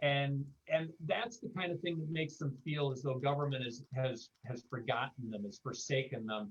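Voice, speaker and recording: Somewhat breathy, a man with an American accent speaks at a moderate pace with hardly any pauses. His fairly high pitch shows ordinary pitch variation. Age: 60s. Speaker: panelist. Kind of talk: panel discussion. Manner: halting, many repeated words.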